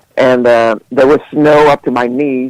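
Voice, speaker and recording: A man at a moderate pace, the sound dry and close with no echo. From Sweden. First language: Swedish. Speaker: musician. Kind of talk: interview. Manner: halting, many fillers and repeats.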